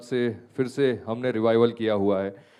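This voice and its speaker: A man in a Gujarati accent, dark and mellow in tone, with monotone, flat intonation. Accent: Gujarati accent in Hindi. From Gujarat, India. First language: Gujarati (speaking Hindi). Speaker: radio host. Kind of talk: panel discussion.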